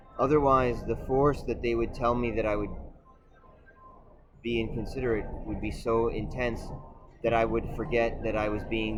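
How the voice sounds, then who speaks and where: Room echo can be heard as a man talks at a fairly quick pace. His medium-pitched voice stays monotone and flat. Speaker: video essayist. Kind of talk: monologue.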